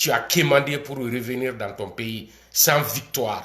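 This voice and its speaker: The speaker's tone is animated. Pitch moves in an ordinary way. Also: man. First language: not French (speaking French). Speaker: video commentator. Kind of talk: political rant.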